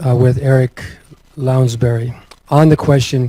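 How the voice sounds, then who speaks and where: Soft-spoken and somewhat breathy, the voice moves at a fairly slow pace in a monotone with flat intonation. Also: man. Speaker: atheist activist, former minister. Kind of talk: conference talk.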